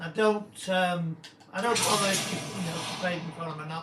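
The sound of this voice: Amid audible room echo, a man with a high pitch and a croaky, fairly bright tone talks at a fairly quick pace with fairly even intonation.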